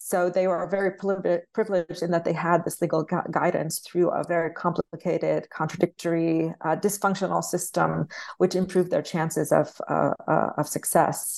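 A woman speaks with vocal fry and monotone, flat intonation, with hardly any pauses. The background is quiet. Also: fairly low pitch for a woman, moderate pace. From Palestine (village). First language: Arabic and English, bilingual. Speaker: anthropologist, author. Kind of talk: interview. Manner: halting, many fillers.

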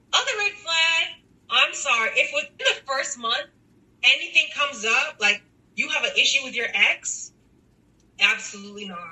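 Against noticeable background noise, a woman with a high voice speaks at a moderate pace, with very wide pitch swings and long, frequent pauses. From Texas. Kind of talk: casual chat. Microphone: poor audio quality, remote recording.

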